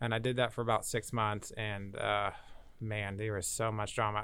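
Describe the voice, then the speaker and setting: A man with an ordinary speaking voice at a medium pitch and moderate pace, in a very clean recording with a silent background. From Kansas, Valley Center. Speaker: brewer, army veteran. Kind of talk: casual chat.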